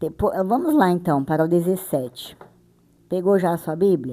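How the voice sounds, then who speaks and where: At a moderate pace, a woman speaks with a dark, mellow tone and a fairly low pitch. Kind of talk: bible reading and explanation. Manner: sped up to 1.6x playback; casual, chatty.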